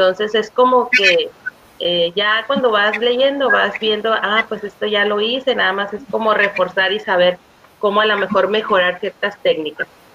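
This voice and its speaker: Through noticeable background noise, a woman with a fairly high voice speaks fairly slowly, her intonation fairly even. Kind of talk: testimony. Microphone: audio problems.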